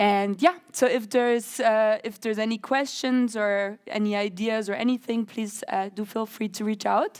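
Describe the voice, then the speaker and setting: At a fairly slow pace, a woman with a fairly high pitch speaks with ordinary pitch variation. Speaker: AI program representative. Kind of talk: conference talk. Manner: loud.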